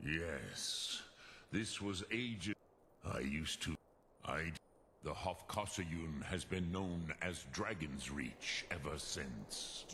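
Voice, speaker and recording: Through clear background noise, a man puts on a character voice that is very deep and low, speaking very slowly. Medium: video game. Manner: slow, grave, mixes dragon words.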